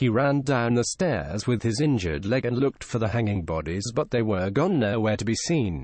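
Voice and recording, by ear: Reading aloud, the voice stays natural.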